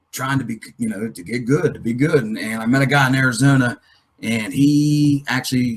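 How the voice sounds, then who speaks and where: With ordinary pitch variation, this man's voice sits at a medium pitch. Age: 40s. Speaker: motocross coach. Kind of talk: live webinar Q&A. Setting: live webinar. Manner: fast; animated.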